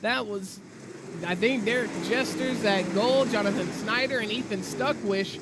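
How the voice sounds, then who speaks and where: Noticeable background noise sits behind a man who talks at a fairly slow pace with a high pitch and ordinary pitch variation. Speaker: sim racing commentator. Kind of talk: live commentary. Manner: animated.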